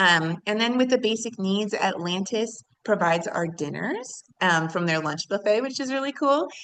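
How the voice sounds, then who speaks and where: A plain, everyday voice belongs to a woman at a medium pitch. She speaks at a moderate pace with ordinary pitch variation. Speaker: nonprofit program leader. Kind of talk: panel presentation.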